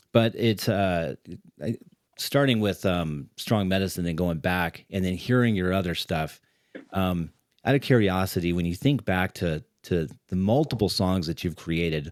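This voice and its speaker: Very deep, low pitch from a man, captured in a very clean recording against a silent background. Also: ordinary pitch variation, moderate pace. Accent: American. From California, Riverside. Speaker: podcast host. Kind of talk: interview.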